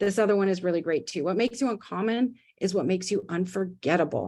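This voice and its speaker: A woman's medium-pitched voice with lively intonation against a quiet background. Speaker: leadership consultant and webinar speaker. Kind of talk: webinar presentation. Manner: fast.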